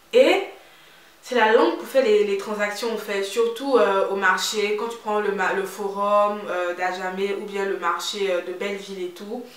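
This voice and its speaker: The speaker has a slight Ivorian accent, a fairly slow pace and big swings in loudness. Noticeable background noise and audible room echo come through. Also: woman, medium pitch for a woman. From Ivory Coast. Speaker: beauty and lifestyle vlogger. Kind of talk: casual vlog talk. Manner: animated.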